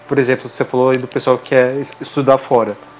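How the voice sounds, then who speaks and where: Noticeable background noise runs behind a man whose pitch is fairly high. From Brazil. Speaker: podcast guest. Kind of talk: casual chat.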